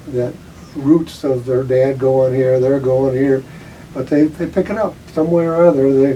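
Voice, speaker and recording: A man's medium-pitched voice at a moderate pace, fairly even intonation, and noticeable background noise. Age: 80s+. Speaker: retired school guidance counselor. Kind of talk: interview. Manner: halting.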